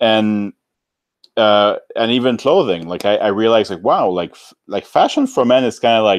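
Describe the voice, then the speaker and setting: A man with a French-Canadian accent, moderate pace, ordinary pitch variation and big swings in loudness. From French-speaking Canada outside Quebec. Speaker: YouTuber. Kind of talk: casual chat.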